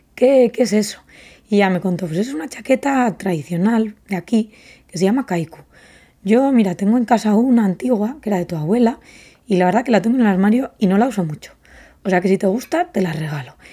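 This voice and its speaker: Over a very clean recording with a silent background, a woman speaks at a fairly quick pace with lively intonation. Her medium-pitched voice has a dark, mellow tone and is somewhat breathy. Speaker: podcast host and fashion brand founder. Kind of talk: casual solo podcast monologue.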